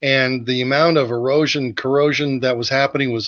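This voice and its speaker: A man at medium pitch talking very fast with fairly even intonation, in a dry, close sound with no echo. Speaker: chimney sweep. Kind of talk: educational video discussion. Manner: halting, many fillers.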